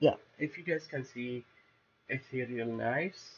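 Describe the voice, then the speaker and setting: A man speaks with a non-native accent at a fairly slow pace. His pitch sits in the medium range, with ordinary variation. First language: not English. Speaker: gaming YouTuber. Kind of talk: gameplay gear walkthrough, casual. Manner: hesitant, many fillers.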